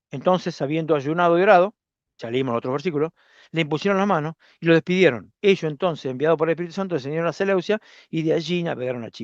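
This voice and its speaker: A man with a Rioplatense accent at a very fast pace, fairly high pitch and ordinary pitch variation, in a dry, close sound with no echo and a quiet background. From Argentina, Zárate, Buenos Aires province. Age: 60s. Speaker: preacher. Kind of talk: sermon. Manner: halting, repeats words.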